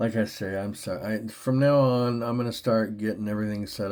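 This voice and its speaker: With ordinary pitch variation, a man speaks at a moderate speed in a fairly low voice. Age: 60s. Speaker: channel host talking to an AI chatbot. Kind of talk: casual conversational monologue. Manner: halting, repetitive.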